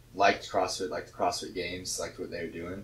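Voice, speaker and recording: A somewhat breathy man, very deep and low in pitch, monotone and flat in intonation, at a fairly quick pace. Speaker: weightlifter and CrossFit coach; CrossFit coach. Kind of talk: casual chat. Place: gym.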